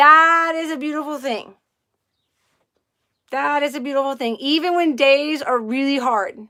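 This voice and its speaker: This woman has a high pitch and a bright, sharp tone, with ordinary pitch variation. Her voice is raised and projected, and she speaks at a fairly slow pace. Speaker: livestream host. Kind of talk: casual chat. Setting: live stream. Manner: loud; animated.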